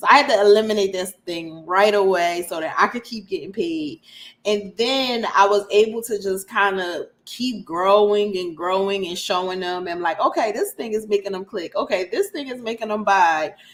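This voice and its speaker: A woman's unremarkable speaking voice in an American accent, medium in pitch with ordinary pitch variation, at a moderate pace with hardly any pauses and big swings in loudness. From US, Philadelphia. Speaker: email marketing specialist. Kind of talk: interview.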